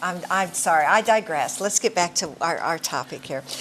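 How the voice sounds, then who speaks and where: Noticeable background noise accompanies a woman speaking at a moderate tempo. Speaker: talk show host. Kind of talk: interview on a talk program.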